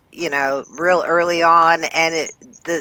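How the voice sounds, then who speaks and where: Her tone bright and sharp, a woman speaks at a very slow pace. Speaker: skywarn net control leader. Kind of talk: casual debrief meeting.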